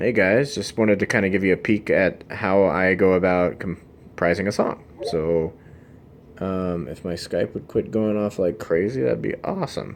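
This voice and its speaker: A man speaks with a fairly low pitch and an American accent. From US South, South Carolina (Myrtle Beach). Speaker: game musician. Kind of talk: casual tutorial video diary. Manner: mellow, laid-back.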